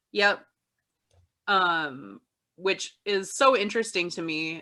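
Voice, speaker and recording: A woman with a Midwestern US accent speaks at a very slow pace in a medium pitch, with ordinary pitch variation and a bright, sharp tone. The recording is very clean with a silent background. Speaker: podcast co-host. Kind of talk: casual chat.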